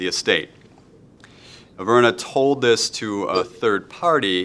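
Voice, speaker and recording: A man with a Wisconsin accent speaks in a bright, sharp tone. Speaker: law lecturer. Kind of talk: lecture. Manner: halting.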